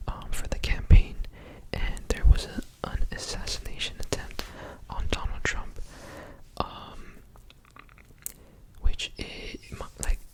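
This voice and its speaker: Whispering at a very slow pace with long, frequent pauses, a man shifts widely in loudness over noticeable background noise. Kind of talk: ASMR year recap talk to camera. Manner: whispered, soft-spoken.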